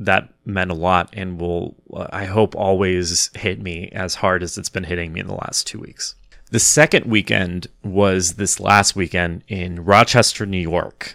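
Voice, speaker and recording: A man speaks with a very deep, low pitch and a bright, sharp tone at a fairly slow pace. His intonation is fairly even in a very clean recording with a silent background. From Kansas, US. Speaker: comedian and podcast host. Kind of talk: casual solo monologue. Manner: halting, many fillers and repeated words.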